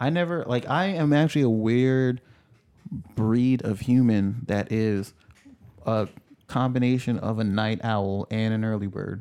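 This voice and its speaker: Speaking at a fairly slow pace with long, frequent pauses, a man with an American accent has a medium pitch, ordinary pitch variation and a dark, mellow tone. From New York City. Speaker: podcast co-host. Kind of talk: casual chat.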